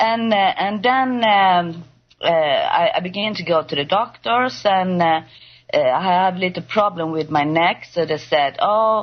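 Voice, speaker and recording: In a Swedish accent, a woman speaks at a medium pitch with ordinary pitch variation and a fairly slow pace. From Sweden. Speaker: patient guest. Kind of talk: testimony. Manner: halting.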